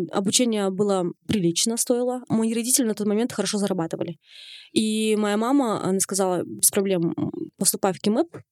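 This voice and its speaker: Speaking at a very fast pace, a woman uses a medium pitch with ordinary pitch variation. The sound is dry and close, with no echo. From Kazakhstan. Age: 20s. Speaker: fashion blogger. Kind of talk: interview. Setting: studio.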